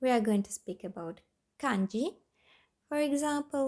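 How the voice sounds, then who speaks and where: A woman speaks with a non-native accent on a very clean recording with a silent background. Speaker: language learning youtuber. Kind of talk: tutorial. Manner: halting.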